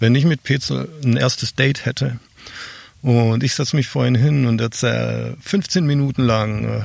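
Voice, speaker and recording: Using an ordinary speaking voice, a man talks at a moderate pace, his medium pitch showing ordinary pitch variation. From Swabia, southern Germany. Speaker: online marketing expert and keynote speaker. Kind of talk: interview, explaining concepts. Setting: outdoors in a garden.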